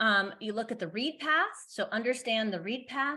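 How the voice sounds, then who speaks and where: Against a quiet background, a woman talks at a fairly quick pace. She has a plain, everyday voice, fairly high in pitch. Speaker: conference speaker. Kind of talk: conference talk. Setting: online conference. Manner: casual with fillers.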